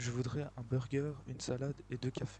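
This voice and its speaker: This is a man. He is soft-spoken. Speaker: gaming YouTuber. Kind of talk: let's play commentary.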